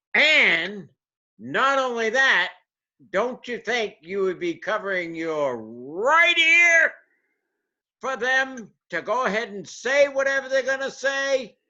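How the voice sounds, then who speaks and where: Pitched extremely high for a man, this raised, projected voice has a bright, sharp tone, very wide pitch swings and a very slow pace. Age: 60s. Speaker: video storyteller. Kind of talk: humorous monologue. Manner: animated.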